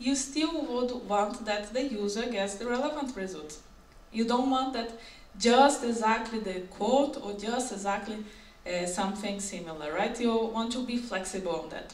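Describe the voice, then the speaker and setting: A woman with a non-native accent speaks at a moderate pace and fairly high pitch with ordinary pitch variation, over noticeable background noise and audible room echo. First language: not English. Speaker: software engineer. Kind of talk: conference talk. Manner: halting.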